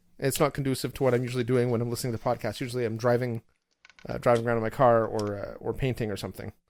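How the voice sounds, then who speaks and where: Very fast and flat, in a monotone, a man speaks at a medium pitch. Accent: Canadian. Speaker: podcast host. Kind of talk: casual chat.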